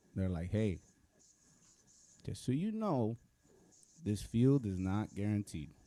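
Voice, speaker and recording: A dark, mellow voice moves at a very slow pace with long, frequent pauses and ordinary pitch variation. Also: man, fairly low pitch for a man. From US, Mexican American. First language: Spanish. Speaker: recording arts alumnus, songwriter. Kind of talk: panel discussion. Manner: casual, halting with repetitions.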